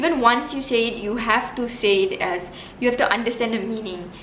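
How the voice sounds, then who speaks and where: A woman with a Tamil accent speaks at a fairly high pitch. Audible room echo and noticeable background noise surround her voice. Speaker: religious teacher, video host. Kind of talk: explanatory talk to camera. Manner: halting, many fillers.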